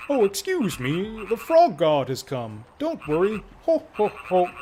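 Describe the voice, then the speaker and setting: At a middle pitch and fairly slow pace, a put-on character voice swings very widely in pitch. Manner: silly, comedic.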